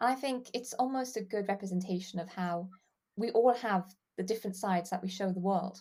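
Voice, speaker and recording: A woman's dark, mellow, somewhat breathy voice at a medium pitch, fairly quick, with ordinary pitch variation, on a very clean recording with a silent background. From England / Wales. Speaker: fan site writer. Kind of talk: casual chat.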